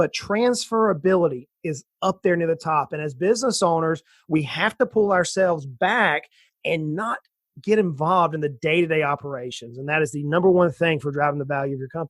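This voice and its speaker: On a very clean recording with a silent background and a dry, close sound with no echo, a man with an American accent uses an ordinary speaking voice, fairly high in pitch, talking at a fairly quick pace with ordinary pitch variation. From US South, south Georgia. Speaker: financial planner. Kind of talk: interview.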